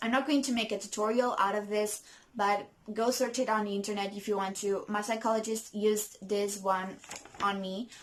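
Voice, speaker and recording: Noticeable background noise sits behind a woman with a non-native accent. Her fairly high voice keeps a moderate pace with monotone, flat intonation. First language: not English. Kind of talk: casual talk to camera. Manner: hesitant, many fillers.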